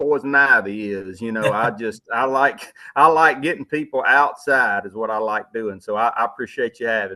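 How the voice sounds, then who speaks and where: A man speaks at a moderate pace with a bright, sharp, enthusiastic tone and ordinary pitch variation. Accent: Southern US. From Louisiana. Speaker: outdoorsman, hunting TV personality. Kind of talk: podcast interview answer. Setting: remote call. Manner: casual, folksy, enthusiastic.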